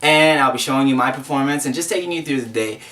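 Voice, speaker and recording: A fairly high-pitched man with an American accent, amid noticeable background noise. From New York. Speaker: vlogger. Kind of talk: casual vlog narration.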